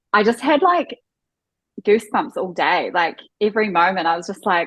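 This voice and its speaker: A woman with a New Zealand accent speaks at a moderate pace with lively intonation. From New Zealand, Auckland. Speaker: wedding photographer. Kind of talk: podcast interview.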